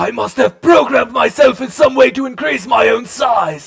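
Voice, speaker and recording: A man puts on a character voice at an extremely high pitch. He goes at a moderate pace. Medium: machinima. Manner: formal, wordy.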